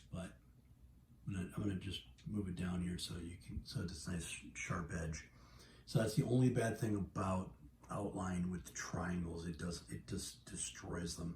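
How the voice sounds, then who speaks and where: Amid light background noise and audible room echo, a man with a very deep, low pitch uses lively intonation and vocal fry. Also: moderate pace. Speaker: video game logo tutorial maker; gamer showing a logo design. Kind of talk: tutorial. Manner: hesitant with fillers. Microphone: phone near.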